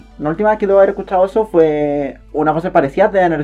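A woman with a Chilean accent speaks at a fairly low pitch with a dark, mellow tone. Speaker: podcast co-host. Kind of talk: casual chat.

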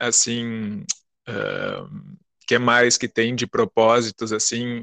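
Bright, sharp tone from a man at a medium pitch, quiet background. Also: dry, close sound with no echo. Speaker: storytelling circle representative. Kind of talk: casual interview. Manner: slow; drawling.

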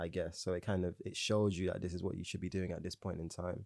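A man speaks at a fairly quick pace in a dark, mellow tone. The sound is dry and close with no echo, on a very clean recording with a silent background. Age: 20s. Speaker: freelance creative. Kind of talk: casual interview chat.

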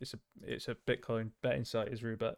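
This man speaks at a medium pitch. His intonation is monotone and flat. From Yorkshire, northern England. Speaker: esports podcast co-host. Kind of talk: casual chat.

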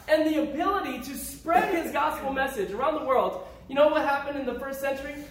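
The tone is animated, with an American accent at a fairly quick pace. Noticeable background noise runs underneath. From Upstate New York (Syracuse area). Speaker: preacher. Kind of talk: sermon.

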